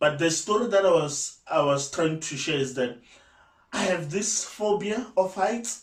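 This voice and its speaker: A loud man with a high pitch speaks at a fairly slow pace with lively intonation. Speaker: YouTuber. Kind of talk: casual vlog talk. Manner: halting.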